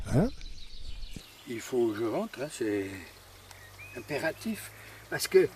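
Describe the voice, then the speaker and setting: A man talks with very wide pitch swings. Noticeable background noise runs underneath. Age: 80s+. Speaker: retired angler. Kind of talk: casual interview.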